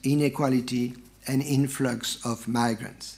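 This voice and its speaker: Speaking with a French accent, a man talks at a very slow pace. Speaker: professor. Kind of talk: read-out academic lecture. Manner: formal.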